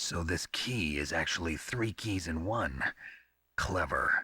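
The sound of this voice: Putting on a character voice, a man speaks slowly at a low pitch with lively intonation, a bright, sharp tone and a slightly husky edge.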